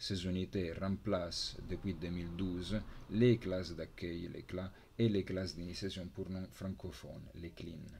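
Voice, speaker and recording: A man with an Italian accent speaks at a very slow pace in a very deep, low, somewhat breathy voice with a dark, mellow tone and monotone, flat intonation, over light background noise. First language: Italian (speaking French). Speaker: university lecturer. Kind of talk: lecture. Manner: halting. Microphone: webcam.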